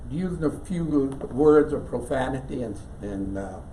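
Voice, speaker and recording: Someone with an American accent speaks at a fairly slow pace with very wide pitch swings, amid audible room echo and noticeable background noise. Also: man. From West Virginia. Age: 80s+. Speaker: church member storyteller. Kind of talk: personal storytelling to an audience.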